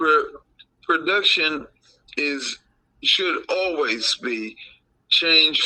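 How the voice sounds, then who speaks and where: The man speaks at a very slow pace. Long, frequent pauses break up his speech. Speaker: father of host, sports fan. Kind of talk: casual chat. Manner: slurred speech from a stroke; halting.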